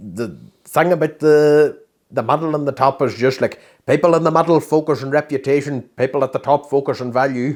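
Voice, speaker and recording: Recorded very cleanly with a silent background, a man with a strong Derry accent speaks at a fairly quick pace, his fairly high pitch moving with ordinary variation. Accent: thick Derry. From Northern Ireland (Derry). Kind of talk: podcast interview answer.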